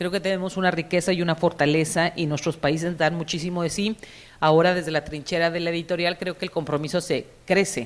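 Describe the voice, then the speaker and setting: A woman talks at a fairly quick pace. Her pitch is fairly low and her intonation monotone and flat. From Mexico. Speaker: publishing executive and cultural manager. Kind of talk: conference panel talk. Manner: hesitant, with repeated fillers.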